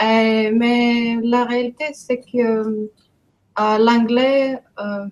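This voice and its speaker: A woman's monotone, flat delivery in a Greek accent. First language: Greek (speaking French). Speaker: immigrant in French conversation workshop. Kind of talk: casual group conversation.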